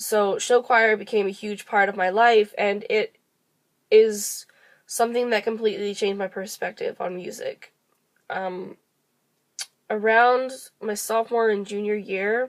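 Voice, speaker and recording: Monotone and flat, a woman at a fairly high pitch speaks at a fairly slow pace with long, frequent pauses. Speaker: music education student. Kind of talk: personal video monologue.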